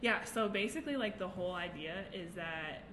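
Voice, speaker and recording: Amid noticeable background noise and audible room echo, a woman with an American accent speaks in a fairly low pitch. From Nebraska. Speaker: ceramic artist and youth mentor. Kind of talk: casual chat.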